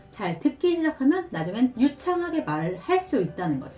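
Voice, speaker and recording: Her pitch swinging very widely, a woman talks at a moderate tempo while music plays behind her. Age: 40s. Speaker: stay-at-home mother. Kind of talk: casual talk to camera, sponsored review.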